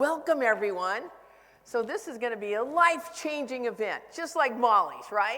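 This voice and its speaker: A woman with an American accent speaks at a moderate pace in a high pitch, her intonation lively, with audible room echo. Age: 70s. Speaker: real estate trainer. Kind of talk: conference talk. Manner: animated.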